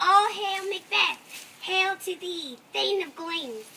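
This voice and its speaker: In a put-on character voice, a female-sounding speaker goes squeaky and extremely high-pitched at a fairly slow pace. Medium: stage play. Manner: cackling, incantatory.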